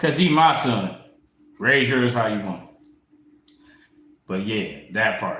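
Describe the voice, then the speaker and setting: Very slowly and with long, frequent pauses, a man speaks at medium pitch. His pitch swings very widely, and audible room echo is present. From US Midwest, Toledo, Ohio. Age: 40s. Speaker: tarot reader. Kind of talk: casual livestream monologue. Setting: livestream. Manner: animated.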